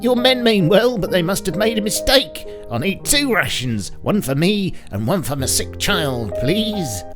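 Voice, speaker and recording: A shaky, put-on character voice moves at a moderate pace with hardly any pauses while music plays clearly in the background. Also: man, high pitch for a man. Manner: pleading.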